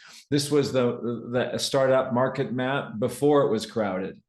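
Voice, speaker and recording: A man with an unremarkable speaking voice, medium pitch and ordinary pitch variation, at a fairly slow pace. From Canada. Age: 60s. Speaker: tech entrepreneur and business speaker. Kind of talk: live presentation to an audience.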